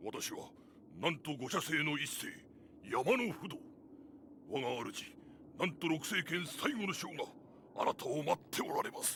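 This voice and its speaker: In a cartoonish character voice, a man with a high pitch talks at a moderate pace, leaving long, frequent pauses over clear background noise. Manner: formal, respectful.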